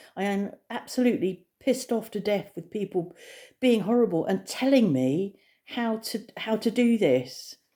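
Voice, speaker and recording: A woman with an English accent speaks at a fairly high pitch in a dark, mellow tone, her pitch swinging very widely. The recording is very clean, with a silent background. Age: 60s. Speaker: vlogger. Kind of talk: casual vlog monologue. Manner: hesitant, many fillers.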